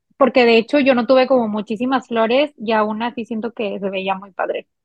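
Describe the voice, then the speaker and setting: Her pitch high, a woman talks at a moderate pace with fairly even intonation. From Mexico, Monterrey, Nuevo León. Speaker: recently married bride sharing wedding experience. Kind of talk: casual chat.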